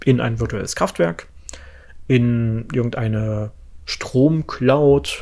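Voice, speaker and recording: A man speaks at a very slow pace, with long, frequent pauses. His pitch is medium, his pitch variation ordinary, and his tone dark and mellow. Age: 30s. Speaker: podcast host on energy industry. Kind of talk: solo explanatory podcast. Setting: home office, different room. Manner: many filler sounds (äh, ähm).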